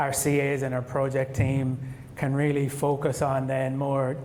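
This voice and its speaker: A man's fairly high voice amid noticeable background noise and audible room echo. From Ireland. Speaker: construction contracts manager. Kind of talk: panel interview before live audience.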